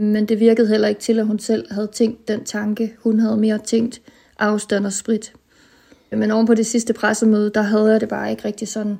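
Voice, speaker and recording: A woman's fairly high-pitched voice, dark and mellow in tone, at a moderate pace with monotone, flat intonation. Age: 30s. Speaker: chronically ill early pensioner. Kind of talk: personal audio diary. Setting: self-recorded at home.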